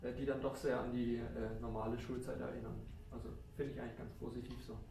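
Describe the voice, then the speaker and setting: Room echo is audible and background noise noticeable as a man talks at a moderate speed. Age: 20s. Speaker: engineering student. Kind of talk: interview testimony.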